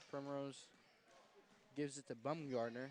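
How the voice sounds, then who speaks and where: With an American accent, a man speaks at a moderate pace and a medium pitch. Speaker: sports commentator. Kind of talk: live play-by-play commentary.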